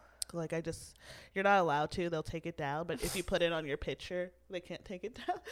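In a very clean recording with a silent background, a woman with an unremarkable speaking voice talks fairly quickly in a fairly low pitch with fairly even intonation. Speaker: comedian. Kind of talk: casual chat.

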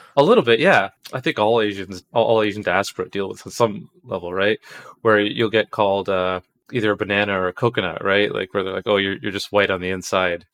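An ordinary speaking voice with a Canadian accent, fairly quick and fairly even in intonation, with a dry, close sound and no echo. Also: man, fairly low pitch for a man, quiet background. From Canada, Toronto. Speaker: game developer. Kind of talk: casual interview.

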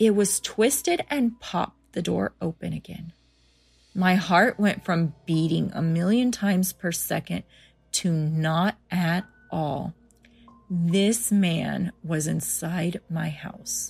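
Somewhat breathy and fairly low, a woman speaks at a very slow pace with ordinary pitch variation in a very clean recording with a silent background. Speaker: podcast host reading listener-submitted scary stories. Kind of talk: scary story reading, hushed suspenseful narration building dread.

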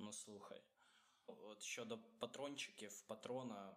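The man's voice lands at a medium pitch. He talks at a moderate speed. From Ukraine. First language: Russian (speaking Ukrainian). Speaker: podcast co-host. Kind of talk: casual chat.

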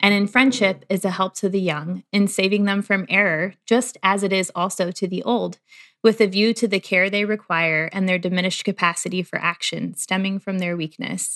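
Here is a woman with an unremarkable speaking voice, medium in pitch and fairly even in intonation, talking at a moderate pace with hardly any pauses. The sound is dry and close with no echo, and the background is quiet. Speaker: podcast co-host. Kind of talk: casual faith-based conversation.

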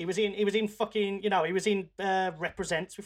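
This man talks at a very fast pace in a voice pitched high for a man. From England, West Midlands (Wolverhampton). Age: 30s. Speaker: podcast host, music producer. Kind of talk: casual chat.

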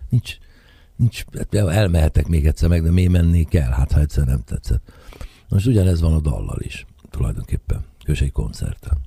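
Intonation rises and falls in a lively way, with a somewhat breathy quality. The delivery keeps a moderate tempo. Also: man, very deep, low pitch for a man. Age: 60s. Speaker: jazz saxophonist and composer. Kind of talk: radio interview.

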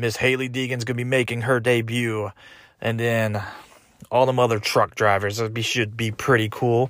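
On a very clean recording with a silent background, a man with an American accent speaks at a moderate pace in a medium pitch with monotone, flat intonation. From Texas, Houston. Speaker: podcast host, army soldier. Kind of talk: casual monologue. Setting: home garage.

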